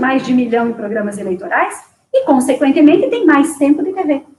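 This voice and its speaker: A woman's high-pitched voice with a dark, mellow tone, lively intonation, and a moderate pace. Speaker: political candidate. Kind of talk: interview. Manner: formal.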